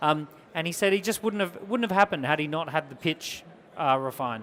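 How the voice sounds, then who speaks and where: A man talks in an Australian accent at a fairly quick pace. His pitch is high. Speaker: entrepreneur and business speaker. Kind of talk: business workshop talk. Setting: small group at a business event. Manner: energetic, emphatic.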